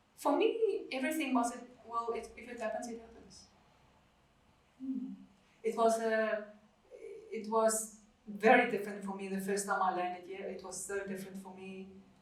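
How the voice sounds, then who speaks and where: A woman's fairly high voice at a moderate pace, with big swings in loudness and long, frequent pauses, amid audible room echo and noticeable background noise. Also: ordinary pitch variation. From South Africa, Afrikaans family. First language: Afrikaans. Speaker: podcast guest sharing life story. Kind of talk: interview testimony. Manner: halting, many fillers.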